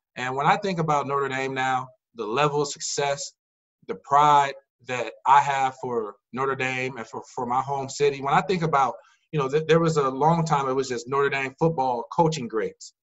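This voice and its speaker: With an ordinary speaking voice, a man talks at a moderate pace and fairly high pitch, his intonation fairly even, against a quiet background. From Indiana, South Bend; Indiana. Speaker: podcast host. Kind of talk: interview; casual chat.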